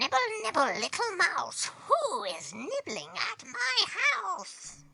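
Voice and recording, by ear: A squeaky, high-pitched put-on character voice speaks at a very slow pace.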